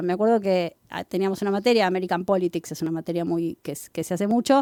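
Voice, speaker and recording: A woman with a Rioplatense accent talks at a fairly quick pace, her voice fairly low with a dark, mellow tone. The recording is very clean and silent behind her, dry and close with no echo. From Argentina, Buenos Aires. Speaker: professor. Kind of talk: interview.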